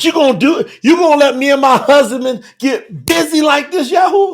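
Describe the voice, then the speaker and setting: The voice has an animated tone and lively intonation. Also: man, extremely high pitch for a man, moderate pace. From Kentucky. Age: 50s. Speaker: bible teacher. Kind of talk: live-streamed bible teaching.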